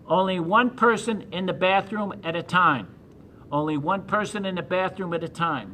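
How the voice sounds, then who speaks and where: A man uses a raised, projected voice with a high pitch. He goes at a moderate pace with ordinary pitch variation. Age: 70s. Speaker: county jury official. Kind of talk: public information address.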